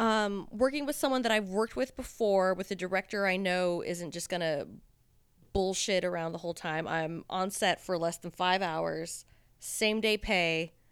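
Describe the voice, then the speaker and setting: A woman speaks at a medium pitch and a moderate pace, with ordinary pitch variation. The recording is very clean, with a silent background. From Southern California. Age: 30s. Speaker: adult film performer. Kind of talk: casual chat. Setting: studio.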